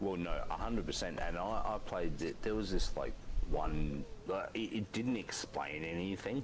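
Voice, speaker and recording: Moderate-paced speech with noticeable background noise. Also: man, fairly low pitch for a man, ordinary pitch variation. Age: 30s. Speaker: gaming live streamer. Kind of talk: casual chat.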